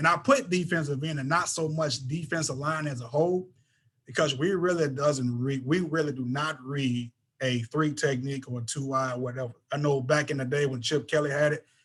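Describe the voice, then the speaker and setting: Somewhat breathy, the voice moves at a fairly quick pace with an American accent. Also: man. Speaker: football coach. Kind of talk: lecture. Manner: fast.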